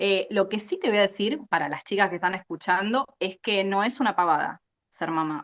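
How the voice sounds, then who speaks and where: With an Argentine accent, a woman speaks with lively intonation. The sound is dry and close with no echo, over a quiet background. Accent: Rioplatense Argentine Spanish. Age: 40s. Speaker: animal scientist. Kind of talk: interview. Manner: animated.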